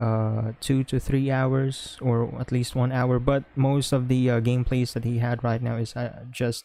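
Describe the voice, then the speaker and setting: In a Filipino accent, a man at medium pitch speaks at a moderate pace in a dark, mellow tone with monotone, flat intonation. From Philippines. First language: Philippine language (not English). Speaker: podcast co-host and streamer. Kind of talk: casual chat. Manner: halting, many fillers.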